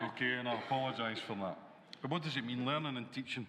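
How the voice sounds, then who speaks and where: With a Glaswegian accent, a man speaks in a bright, sharp tone with ordinary pitch variation. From Scotland, Glasgow. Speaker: college dean. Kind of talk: conference panel talk.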